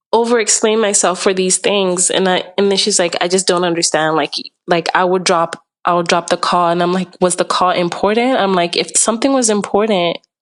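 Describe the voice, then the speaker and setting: At a fairly quick pace, a woman speaks at a medium pitch with fairly even intonation and very even loudness. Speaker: podcast guest sharing relationship story. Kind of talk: casual chat. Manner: calm; hesitant, many fillers.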